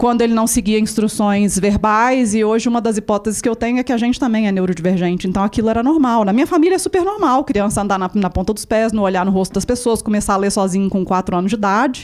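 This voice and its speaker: A woman's fairly high voice at a very fast pace with hardly any pauses, ordinary pitch variation and noticeable background noise. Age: 40s. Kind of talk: panel talk.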